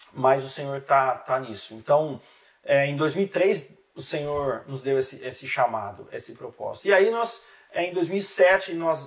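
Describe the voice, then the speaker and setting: With a normal speaking voice pitched fairly high, a man talks with lively intonation and big swings in loudness. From Brazil, interior of São Paulo state. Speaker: relationship specialist, author and missionary. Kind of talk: podcast interview. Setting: studio.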